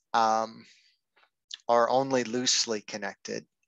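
Against a quiet background, a man speaks in monotone, flat intonation, the sound dry with no echo. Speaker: book club presenter. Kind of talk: lecture. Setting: video call. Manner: halting, many fillers. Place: home room.

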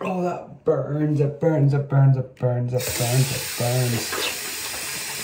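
A man at a very slow pace against noticeable background noise. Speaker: vlogger. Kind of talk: casual vlog chat. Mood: dramatic complaining about burning. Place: bathroom. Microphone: phone near.

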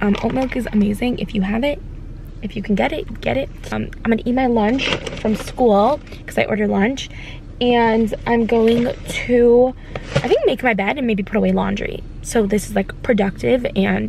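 Noticeable background noise sits under a dry sound with no echo. A woman speaks at a moderate pace. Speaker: lifestyle vlogger. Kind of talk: casual vlog chat. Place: car. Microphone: phone near.

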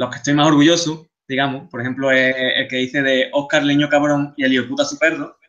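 Fairly high in pitch, a man talks at a fairly quick pace with monotone, flat intonation. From Seville, Spain. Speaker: game artist. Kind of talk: lecture. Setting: video call.

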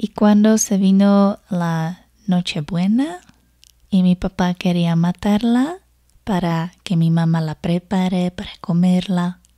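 Soft-spoken and very slow, the voice keeps a fairly even intonation over a quiet background. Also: woman. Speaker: foreigner living in a Spanish-speaking country, storyteller. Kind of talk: ASMR storytime, personal anecdote. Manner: soft-spoken, relaxing. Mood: warm, amused. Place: home room. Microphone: studio mic.

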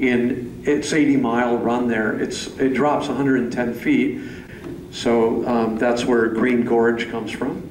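A flat, monotone American-accented voice at a very slow pace, with light background noise and audible room echo. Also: man. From US Midwest. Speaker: painter. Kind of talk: informal gallery talk. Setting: museum gallery with live audience. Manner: loud, projecting to a group. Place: hall. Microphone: handheld.

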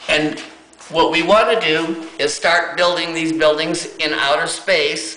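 Speech at a fairly slow pace comes with audible room echo. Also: man. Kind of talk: casual vlog explanation. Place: home room. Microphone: phone near.

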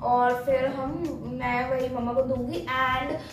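Over clear music and audible room echo, a woman speaks at a very slow pace. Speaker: daughter hosting a family game. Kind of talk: casual vlog chat. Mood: playful, festive. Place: home room. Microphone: camera far.

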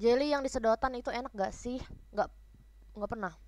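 A woman speaks at a moderate pace with a fairly high pitch and an animated, playful tone. The sound is dry with no echo. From Indonesia. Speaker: idol group member livestreaming; livestreamer. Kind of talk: casual livestream chat reading comments. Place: home room. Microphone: no external mic, built-in mic; headset.

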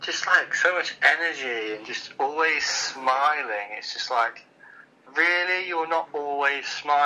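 The speech moves at a fairly slow pace with ordinary pitch variation and big swings in loudness, over light background noise. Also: man. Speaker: caller. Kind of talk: playful phone chat. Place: home room. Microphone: phone line.

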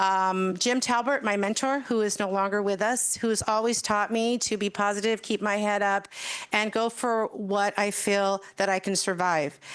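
American accent, very even loudness and fairly even intonation over a quiet background. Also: woman, medium pitch for a woman. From US West (Madera, California). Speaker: newly sworn-in mayor. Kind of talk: inaugural speech at council meeting. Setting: council chambers with packed audience. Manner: fast.

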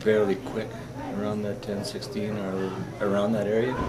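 The speaker keeps a moderate pace against loud background noise. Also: man. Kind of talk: interview answer. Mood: calm, matter-of-fact.

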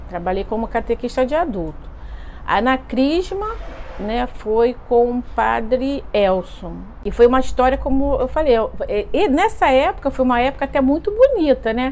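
At a moderate pace, a woman with a high pitch speaks with very wide pitch swings. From Brazil. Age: 50s. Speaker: parishioner. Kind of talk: testimony; interview answer, personal testimony. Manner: hesitant, many fillers. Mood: warm, nostalgic. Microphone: lapel.

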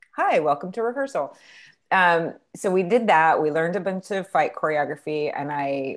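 Lively intonation at a moderate pace against a quiet background. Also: woman. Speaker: interview guest. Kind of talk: interview answer. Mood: animated, laughing storytelling. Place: home room. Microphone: earbuds.

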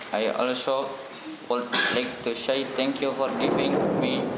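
Loud background noise surrounds a man speaking with an Indonesian accent. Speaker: student. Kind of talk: role-play job interview. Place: meeting room.

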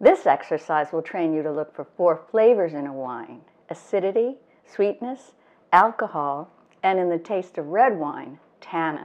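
A woman speaks in an unremarkable speaking voice with a fairly low pitch. Her pace is fairly slow. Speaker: wine educator host. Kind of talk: tutorial. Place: kitchen.

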